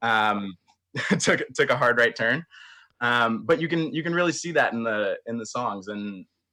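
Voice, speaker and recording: Speaking with a Canadian accent, a man has a bright, sharp tone at a medium pitch with ordinary pitch variation. He goes at a moderate pace in a very clean recording with a silent background. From Barrie, Ontario, Canada. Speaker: country singer. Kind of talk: interview answer. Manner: hesitant, many fillers.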